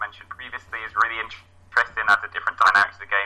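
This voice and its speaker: Noticeable background noise sits under a man speaking at a very fast pace. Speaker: hobby podcaster and community organizer. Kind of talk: casual interview chat. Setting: remote call.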